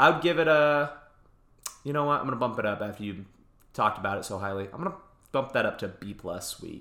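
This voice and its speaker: Speaking very fast with long, frequent pauses, a man uses a medium pitch, very wide pitch swings, big swings in loudness, and a bright, sharp tone. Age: 30s. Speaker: movie podcast co-host. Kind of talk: casual chat. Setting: in person recording.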